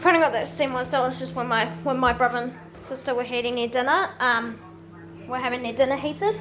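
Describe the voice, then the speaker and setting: A woman speaks very fast in a high voice, with audible room echo and noticeable background noise. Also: ordinary pitch variation. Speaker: laundry video maker. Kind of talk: casual vlog narration. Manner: quiet, keeping voice down; halting, repeats words.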